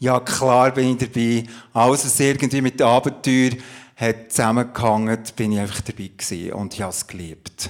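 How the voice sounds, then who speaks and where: Using an ordinary speaking voice, a man talks at medium pitch and a fairly quick pace with fairly even intonation. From Switzerland, Emmental (Bern). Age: 50s. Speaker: pastor and coach. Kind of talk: testimony in a church talk interview. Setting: church service with audience.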